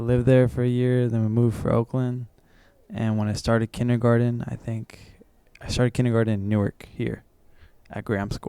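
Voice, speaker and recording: A man with a medium-pitched voice talks at a fairly quick clip in a monotone, flat delivery, the sound dry and close with no echo. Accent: Californian. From San Francisco Bay Area, California. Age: 20s. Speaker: musician. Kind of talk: interview. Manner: casual.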